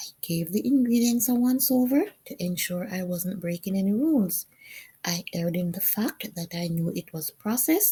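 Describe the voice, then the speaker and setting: Somewhat breathy and dark, mellow in tone, a woman speaks at a medium pitch and moderate pace with lively intonation. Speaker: vlogger. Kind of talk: personal testimony vlog narration.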